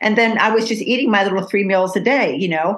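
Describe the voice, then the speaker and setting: A woman speaks at a medium pitch in a normal speaking voice. Her pace is fairly quick. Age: 60s. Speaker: podcast host. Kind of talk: casual chat.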